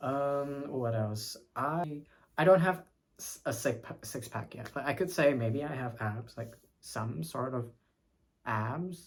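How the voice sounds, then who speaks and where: Speaking at a very slow pace, a man uses a medium pitch and lively intonation. His voice is somewhat breathy, with big swings in loudness. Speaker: vlogger. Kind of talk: casual chat. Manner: halting.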